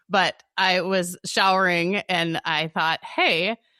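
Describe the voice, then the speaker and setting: The intonation stays monotone and flat. The sound is dry and close, with no echo. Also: woman. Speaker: podcast host. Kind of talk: casual podcast chat. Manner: casual, with fillers and restarts.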